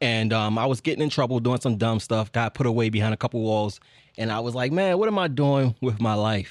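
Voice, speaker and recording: A man with a normal speaking voice talks at medium pitch and a fairly quick pace. His pitch variation is ordinary, and his loudness stays very even. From Baltimore, Maryland. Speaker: film director. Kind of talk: casual interview. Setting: studio.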